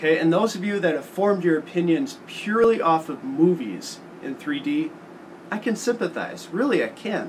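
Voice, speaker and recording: Over noticeable background noise, a man with a high voice speaks at a moderate pace, his pitch swinging very widely. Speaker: tech and gaming video host. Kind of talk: casual talk to camera.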